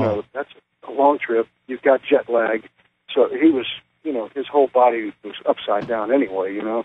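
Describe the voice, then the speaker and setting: Here a man with an unremarkable speaking voice and medium pitch talks at a moderate pace, his intonation fairly even and his loudness swinging widely. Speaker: professional wrestler. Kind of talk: interview answer. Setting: phone line. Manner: casual, conversational.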